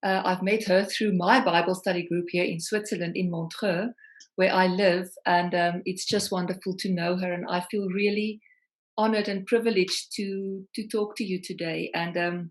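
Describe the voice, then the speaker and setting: A woman with a South African accent, medium pitch, monotone, flat intonation and a moderate pace. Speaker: singer-songwriter. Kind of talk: interview.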